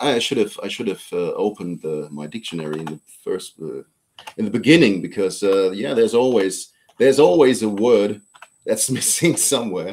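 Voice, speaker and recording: This man has a German accent and a fairly low pitch. He talks at a moderate pace with big swings in loudness. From Germany. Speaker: politician. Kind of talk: interview. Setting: live stream. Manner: halting.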